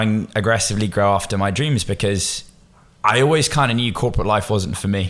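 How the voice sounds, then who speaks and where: A man with a Bristol accent talks at a fairly low pitch on a very clean recording with a silent background. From Bristol, England. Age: 20s. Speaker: agency founder, entrepreneur. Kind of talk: podcast interview. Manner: casual, informal.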